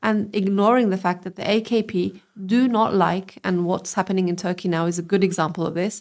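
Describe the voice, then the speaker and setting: A woman with a British accent talks at a medium pitch and fairly quick pace. Her intonation is fairly even, with hardly any pauses. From England. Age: 30s. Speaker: politician and lawyer. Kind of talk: interview. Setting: live-streamed podcast.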